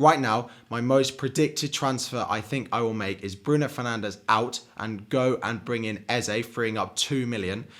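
Recorded very cleanly against a silent background, a man with an English accent speaks at a moderate pace and a medium pitch, with ordinary pitch variation and hardly any pauses. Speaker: fantasy football YouTuber. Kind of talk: solo video commentary. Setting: home recording. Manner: uneven, pausing to drink water.

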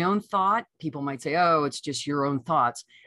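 With an American accent, a woman speaks at a very deep, low pitch with very wide pitch swings against a quiet background. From US Midwest, Michigan. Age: 60s. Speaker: radio broadcaster and podcaster. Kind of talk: casual interview chat. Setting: video call. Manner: warm, effusive.

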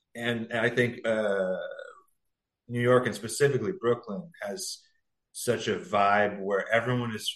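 A man with an American accent speaks in a normal speaking voice at medium pitch, with ordinary pitch variation and a moderate pace. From US West Coast, San Diego. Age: 40s. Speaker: singer and adult performer. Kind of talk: casual interview.

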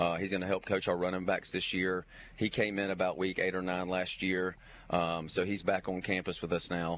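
Monotone and flat, a man speaks at a moderate pace in a very deep, low pitch. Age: 40s. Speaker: high school football coach. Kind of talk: interview.

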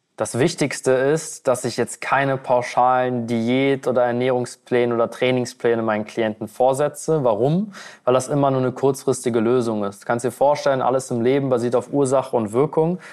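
In an ordinary speaking voice, a man talks at a moderate pace with medium pitch, fairly even intonation and hardly any pauses. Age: 20s. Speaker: weight-loss coach. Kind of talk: podcast interview.

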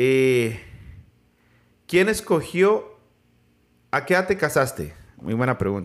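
Speaking at a very slow pace with long, frequent pauses, a man uses a fairly high pitch that swings very widely, in a very clean recording with a silent background. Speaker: podcast host interviewing his grandmother. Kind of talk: casual family interview. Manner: loud, speaking up for hard-of-hearing grandmother.

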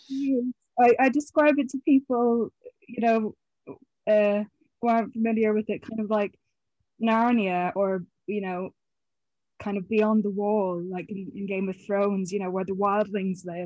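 An Irish accent marks a woman's fairly high voice, delivered at a moderate pace with ordinary pitch variation and long, frequent pauses. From Ireland, County Mayo. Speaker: film and TV production worker. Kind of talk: interview.

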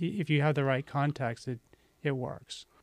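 A man talks at a moderate pace in a plain, everyday voice with a fairly high pitch. The recording is very clean with a silent background, and the sound is dry and close with no echo. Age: 50s. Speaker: aikido practitioner. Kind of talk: casual chat.

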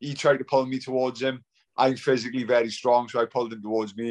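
The man talks at a fairly quick pace. The sound is dry and close, with no echo. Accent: South Wales. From Wales, Swansea. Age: 40s. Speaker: retired professional boxer. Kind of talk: casual interview.

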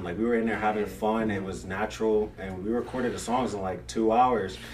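There is noticeable background noise. The pitch rises and falls in an ordinary way. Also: man. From Brooklyn, raised in Virginia. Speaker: musician. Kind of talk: casual chat. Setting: studio.

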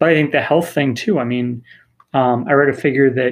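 A man's unremarkable speaking voice, medium in pitch, at a fairly quick pace. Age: 30s. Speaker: soccer supporters group leader and youth coach. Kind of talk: casual chat.

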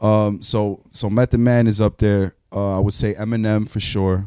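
In a New York accent, a man speaks with a dark, mellow tone at a fairly low pitch, his intonation monotone and flat. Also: very clean recording, silent background. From New York, Queens (Jackson Heights). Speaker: rapper. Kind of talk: casual chat. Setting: studio.

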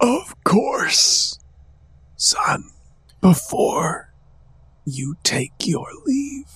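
Using a put-on character voice, a man speaks very slowly with long, frequent pauses. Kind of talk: regal formal speech. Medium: actual play. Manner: stilted, falsely gracious.

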